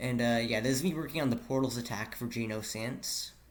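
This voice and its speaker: Amid audible room echo, a man speaks at a fairly quick pace in a medium pitch with ordinary pitch variation. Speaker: game developer and video creator. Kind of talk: casual devlog narration over footage. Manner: hesitant, many fillers; fast.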